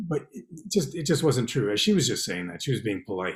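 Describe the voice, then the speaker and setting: Fairly quick and somewhat breathy, a man with a Canadian accent is heard in a very clean recording with a silent background. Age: 60s. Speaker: poet and novelist. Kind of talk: interview.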